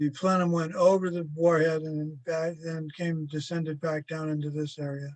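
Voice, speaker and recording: A man talks at a moderate pace with hardly any pauses. His fairly high voice holds a monotone, flat intonation. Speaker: historian and author. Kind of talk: webinar lecture with Q&A. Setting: video call webinar. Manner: halting.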